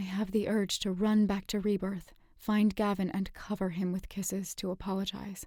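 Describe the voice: This is plain reading aloud. Nothing more is listed.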